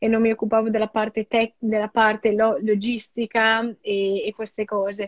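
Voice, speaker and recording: With monotone, flat intonation, a woman speaks at a fairly high pitch. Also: moderate pace. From Italy. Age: 20s. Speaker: product designer. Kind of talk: interview.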